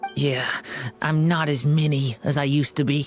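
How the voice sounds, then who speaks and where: A cartoonish character voice sits at a low-to-middle pitch and moves at a moderate pace. Clear music plays in the background. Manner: soft-spoken, hesitant.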